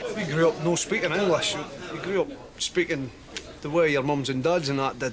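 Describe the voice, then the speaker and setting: Crowd noise runs behind a man with a strong Dundee accent who talks at a fairly quick pace in a fairly high pitch, with ordinary pitch variation. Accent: broad Dundee Scots. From Scotland, Dundee. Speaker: performance poet. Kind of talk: interview.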